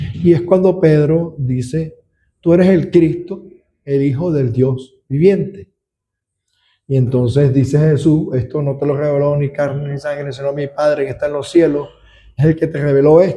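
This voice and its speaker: At a fairly slow pace, a man speaks in a dark, mellow tone that is somewhat breathy. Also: fairly high pitch for a man, ordinary pitch variation. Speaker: deacon teaching a Bible study. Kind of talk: Bible study lecture.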